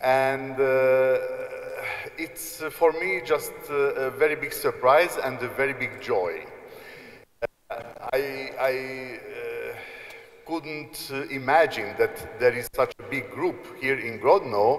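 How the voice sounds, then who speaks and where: Over noticeable background noise, a man with a Hungarian accent speaks very slowly, with long, frequent pauses. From Hungary. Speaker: apostolic nuncio, archbishop. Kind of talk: informal address to students. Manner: halting, many fillers.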